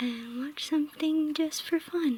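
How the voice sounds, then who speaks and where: The soft-spoken voice moves at a very slow pace. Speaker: ASMR creator. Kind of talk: ASMR crafting ramble.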